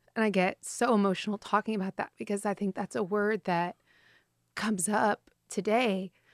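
An unremarkable speaking voice with an American accent, moving at a moderate pace. The background is quiet. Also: woman. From small-town Texas. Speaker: food entrepreneur. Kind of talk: interview conversation.

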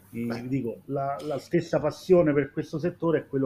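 This man's tone is dark and mellow, his pitch fairly high. His intonation stays fairly even. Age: 40s. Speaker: former receptionist, hotel professional. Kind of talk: live-streamed panel discussion.

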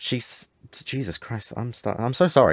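Recorded very cleanly against a silent background, the voice has a dry, close sound with no echo, ordinary pitch variation and a moderate pace. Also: man. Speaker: podcast host. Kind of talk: casual chat. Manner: hesitant, many filler words.

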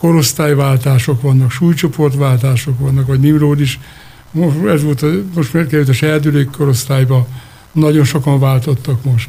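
At a moderate pace, a man talks in a fairly high voice with a dark, mellow tone. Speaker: wrestling club president. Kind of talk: radio interview. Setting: studio.

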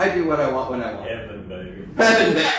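A man's fairly high voice rises and falls in lively intonation as noticeable background noise plays. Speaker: church discussion leader. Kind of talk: teaching discussion. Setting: in-person gathering with families. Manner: informal and conversational.

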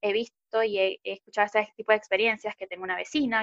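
This woman's voice sits fairly high in pitch. She talks at a very fast pace. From Venezuela. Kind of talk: interview.

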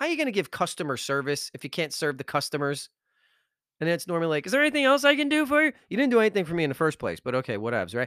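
A man speaks in an animated tone at a high pitch, with very wide pitch swings. The recording is very clean, with a silent background. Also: dry, close sound with no echo. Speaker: podcast host, motivational speaker. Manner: loud, fast, high-energy, animated hype; exasperated, sarcastic, and worked-up during the rant.

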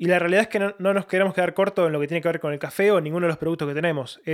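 Speaking very fast, a man with a high-pitched voice keeps his intonation fairly even. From Argentina, Buenos Aires (Lanús). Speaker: missionary. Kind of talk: interview. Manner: halting, many fillers.

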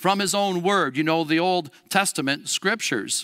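In a very clean recording with a silent background, a man uses a raised, projected voice with a bright, sharp tone. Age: 60s. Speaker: Lutheran school educator preaching. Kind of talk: sermon. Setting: church.

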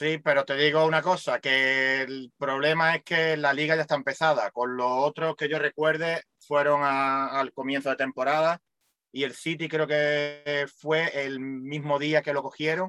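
A man's fairly high, bright, sharp voice with a Málaga accent, fairly slow and monotone, with hardly any pauses and a dry, close sound with no echo. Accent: Málaga Andalusian Spanish. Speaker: radio co-host. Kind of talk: casual chat.

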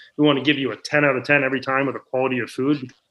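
At a very fast pace, a man talks with an American accent. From US Northeast, Maine. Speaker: business founder. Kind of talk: interview.

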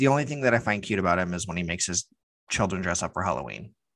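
A man's voice with vocal fry and lively intonation. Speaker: podcast co-host. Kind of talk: casual banter.

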